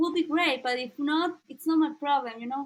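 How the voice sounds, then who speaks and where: A woman speaks in a Mexican accent. Her voice is high-pitched. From Mexico, Veracruz (rural). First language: Spanish. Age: 20s. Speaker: content creator. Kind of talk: casual interview. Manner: halting.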